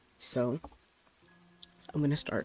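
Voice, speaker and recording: Music plays behind a man with a fairly high pitch. He talks at a moderate pace with ordinary pitch variation. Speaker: vtuber streamer. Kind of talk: casual stream chat before reading stories aloud. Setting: livestream with rain sounds. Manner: loud; hesitant, many fillers.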